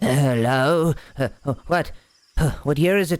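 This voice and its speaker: A man puts on a character voice, hissing at a fairly high pitch and a fairly slow pace. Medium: actual play. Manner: halting, broken speech.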